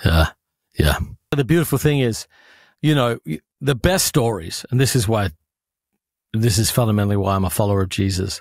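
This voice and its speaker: A man with an Australian accent speaks passionately at a fairly quick pace, fairly low in pitch, with lively intonation, long, frequent pauses and very even loudness, the sound dry with no echo over a quiet background. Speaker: pastor and author. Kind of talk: interview answer. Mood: earnest, heartfelt. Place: home room. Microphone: studio mic.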